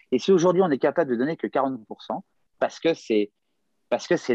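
In a plain, everyday voice, a man speaks at a moderate pace with ordinary pitch variation, the sound dry and close with no echo against a quiet background. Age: 50s. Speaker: gymnastics coach. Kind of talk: casual interview. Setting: hotel room, remote call.

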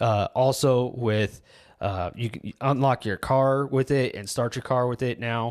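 An ordinary speaking voice, this man talks at a fairly slow pace with medium pitch and fairly even intonation. The sound is dry and close with no echo, on a very clean recording with a silent background. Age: 30s. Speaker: tech podcast host. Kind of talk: casual chat.

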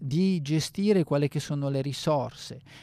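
On a very clean recording with a silent background and a dry, close sound with no echo, a man with a dark, mellow tone speaks at a fairly high pitch and moderate pace with ordinary pitch variation. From northern Italy, Bergamo. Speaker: radio host and sommelier. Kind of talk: radio monologue. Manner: halting, many fillers.

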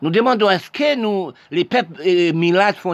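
At a moderate pace, a man talks, his pitch shifting in an ordinary way. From Haiti. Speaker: political commentator. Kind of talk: monologue.

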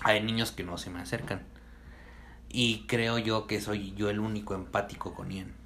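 At a fairly slow pace, a man talks in a bright, sharp tone with vocal fry and a fairly low pitch. His intonation stays fairly even, and audible room echo surrounds the voice. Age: 20s. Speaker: podcast host. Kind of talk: casual chat.

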